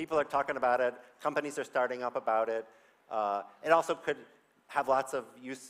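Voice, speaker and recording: A man talks at a fairly quick pace in a medium pitch. His speech has long, frequent pauses. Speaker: conference speaker, developer tool team member. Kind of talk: conference talk. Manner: animated.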